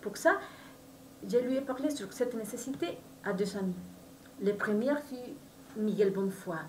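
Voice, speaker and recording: Over noticeable background noise and audible room echo, a woman with a Spanish accent speaks at a fairly slow pace with lively intonation. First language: Spanish (speaking French). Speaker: novelist. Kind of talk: book presentation. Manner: halting.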